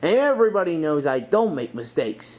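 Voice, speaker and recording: Putting on a character voice, a man talks at a fairly quick pace in a fairly high pitch, with very wide pitch swings and a hissing sound. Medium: read story. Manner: hissing, smug.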